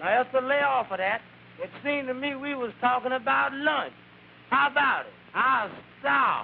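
Putting on a whiny character voice, a man speaks at an extremely high pitch and a moderate pace, with ordinary pitch variation, long, frequent pauses and clear background noise. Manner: drowsy, whining, lazy.

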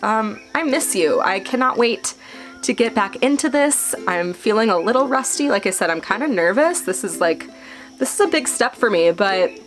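Faint music plays behind a woman. She talks at a moderate pace. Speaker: travel vlogger. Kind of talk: casual vlog chat. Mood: warm, slightly nervous, laughing. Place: home room. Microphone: phone near.

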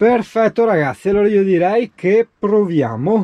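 The recording of this man is dry with no echo, and he talks at a moderate pace. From Veneto, Italy. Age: young. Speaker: travel vlogger. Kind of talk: casual vlog tutorial. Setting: workshop. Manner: animated. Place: car. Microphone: phone near.

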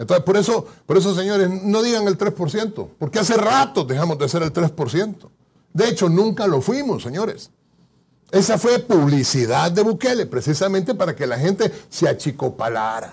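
The speaker moves at a moderate pace with very wide pitch swings. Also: man, high pitch for a man. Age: 50s. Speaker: guest. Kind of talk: political interview. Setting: studio. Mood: critical, combative. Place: studio. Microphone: lapel.

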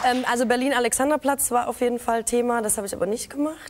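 A woman's high-pitched voice at a very fast pace, with fairly even intonation and light background noise. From Baden-Württemberg, Ostalbkreis (Aalen); Baden-Württemberg. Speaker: TV and internet presenter; presenter. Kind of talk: talk show interview. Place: studio.

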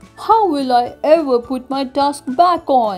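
A woman puts on a character voice at a fairly slow pace. Faint music plays in the background. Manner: wailing, distressed.

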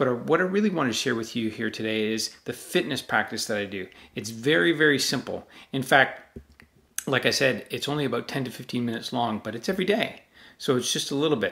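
A man's bright, sharp voice with lively intonation at a fairly quick pace. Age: 40s. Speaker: self-help channel host. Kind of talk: direct-to-camera talk. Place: home room.

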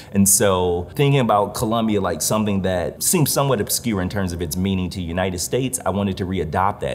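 Against light background noise, a man with a very deep, low voice speaks fairly quickly, with ordinary pitch variation. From Detroit, Michigan. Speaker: visual artist. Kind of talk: interview monologue. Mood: earnest, reflective. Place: hall. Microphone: lapel.

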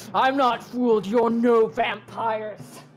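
A man's put-on character voice, growling and extremely high in pitch, at a fairly slow pace. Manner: snarling.

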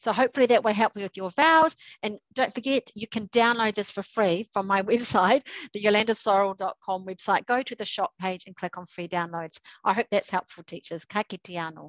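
With a New Zealand accent, a woman talks at a fairly quick pace and medium pitch, with ordinary pitch variation and big swings in loudness, in a dry sound with no echo over a quiet background. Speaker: literacy educator. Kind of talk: tutorial. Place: home room. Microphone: headset.

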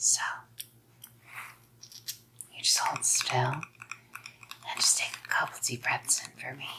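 In a put-on character voice, a woman whispers slowly with a husky, rough edge and vocal fry.

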